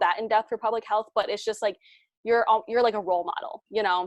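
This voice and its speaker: A woman with a fairly high pitch speaks with ordinary pitch variation. The sound is dry and close with no echo, over a quiet background. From immigrant to the US. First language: not English. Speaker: business founder. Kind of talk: interview. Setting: podcast. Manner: many fillers and restarts.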